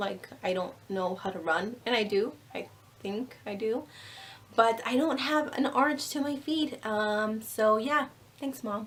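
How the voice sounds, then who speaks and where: A woman with an American accent speaks at a fairly high pitch. Her pitch varies in an ordinary way, with noticeable background noise behind her. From New Mexico, US. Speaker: beauty vlogger. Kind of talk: casual vlog monologue. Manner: animated.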